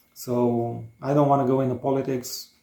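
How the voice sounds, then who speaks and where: A man with a Romanian accent speaks at a medium pitch with fairly even intonation. His tone is dark and mellow. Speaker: DIY home builder, vlogger. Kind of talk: casual chat. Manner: halting, many fillers.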